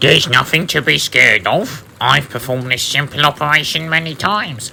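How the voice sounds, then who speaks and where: This man puts on a character voice pitched fairly high. He moves at a fairly quick pace with ordinary pitch variation. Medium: read story.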